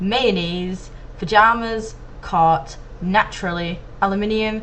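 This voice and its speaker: A woman speaks at a very slow pace with fairly even intonation. Audible room echo surrounds her voice. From Manchester, England. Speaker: video blogger. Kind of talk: reading word list, casual vlog. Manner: hesitant, many ums.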